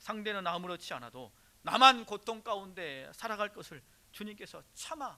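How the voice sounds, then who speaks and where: With a slight Jeolla accent, a man projects a raised voice that is high-pitched, bright and sharp, at a moderate pace. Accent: slight Jeolla dialect, grown since moving. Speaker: pastor. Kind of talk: sermon. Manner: rhetorical questions to congregation.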